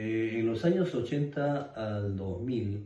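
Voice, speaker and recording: Speaking at a very slow pace, a man with a dark, mellow tone sounds somewhat breathy, with ordinary pitch variation and audible room echo. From Peru, Ayacucho (Andes). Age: 60s. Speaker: eyewitness of armed conflict. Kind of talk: interview testimony. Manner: halting, many fillers.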